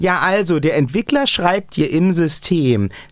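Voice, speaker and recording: A man with a high pitch speaks at a fairly slow pace in an animated tone with lively intonation, against noticeable background noise. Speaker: wrestling podcast host. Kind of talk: casual banter. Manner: animated, joking.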